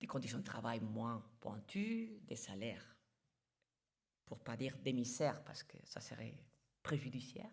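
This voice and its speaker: A woman talks at a fairly slow pace, her pitch swinging very widely. Room echo is audible. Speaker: international organization official. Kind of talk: conference talk.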